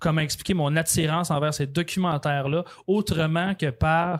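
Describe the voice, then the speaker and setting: In a very clean recording with a silent background, a man with a Quebec accent talks at a fairly slow pace and a fairly high pitch. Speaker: true crime podcaster and author. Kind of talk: casual interview. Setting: recorded in a bar.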